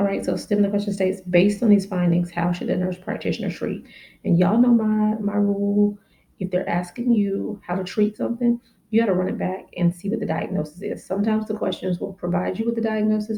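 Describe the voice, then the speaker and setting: A woman talks at a very fast pace in a dark, mellow, somewhat breathy tone. Her pitch is medium and her intonation fairly even. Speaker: family nurse practitioner. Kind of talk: educational exam-prep teaching to camera. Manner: casual, friendly.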